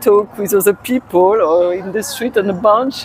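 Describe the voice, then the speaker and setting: A woman talks with a French accent and ordinary pitch variation. Noticeable background noise sits behind her. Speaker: tourist. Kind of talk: street interview. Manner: halting.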